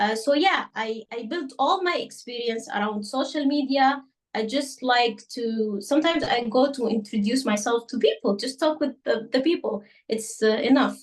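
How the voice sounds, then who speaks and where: This woman's voice sits high in pitch and shows ordinary pitch variation. She speaks at a moderate pace. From Sudan. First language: Arabic. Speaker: journalist. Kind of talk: interview. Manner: halting, many fillers.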